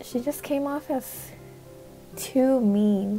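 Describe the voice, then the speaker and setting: A soft-spoken woman with a nervous tone and ordinary pitch variation, music in the background. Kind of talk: casual commentary to camera. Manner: soft-spoken, nervous, apologetic.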